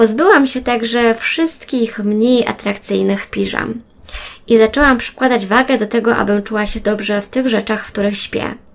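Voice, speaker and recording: A woman's fairly high voice, a normal speaking voice, keeps its intonation fairly even while she talks at a moderate pace. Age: 30s. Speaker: podcaster. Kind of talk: personal monologue.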